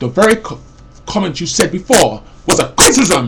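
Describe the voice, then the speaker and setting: A man speaks loudly at a moderate pace with very wide pitch swings. Noticeable background noise runs behind him. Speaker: vlogger. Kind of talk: personal rant. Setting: webcam recording. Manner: rambling with false starts.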